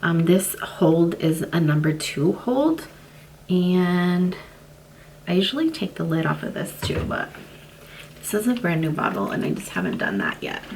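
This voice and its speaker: A woman speaks quietly at a fairly slow pace with long, frequent pauses. Noticeable background noise runs underneath. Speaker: lifestyle vlogger. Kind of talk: casual tutorial.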